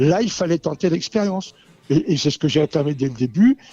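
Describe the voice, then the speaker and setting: A man's dark, mellow tone sits at a fairly high pitch, with lively intonation and a dry, close sound with no echo. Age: 70s. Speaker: racehorse owner and breeder. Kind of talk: radio panel discussion. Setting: radio studio in a Paris venue. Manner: animated, impassioned; halting with repetitions.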